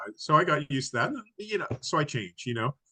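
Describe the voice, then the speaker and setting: A man's very fast, lively speech, bright and sharp in tone, with a dry, close sound and no echo. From mixed: Canada, Africa, US, Hawaii; Australian father. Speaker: massage therapist and naturopath. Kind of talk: interview. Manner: halting, many fillers.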